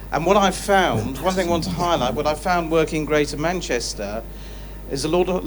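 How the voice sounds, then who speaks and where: Male speaker with a southern English accent, audible room echo, and noticeable background noise. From southern England. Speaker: charity founder, audience member. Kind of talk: public Q&A comment. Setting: live studio audience Q&A.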